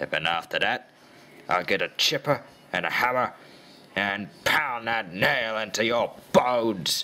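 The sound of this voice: A man's put-on character voice, medium in pitch, with lively intonation and a fairly slow pace.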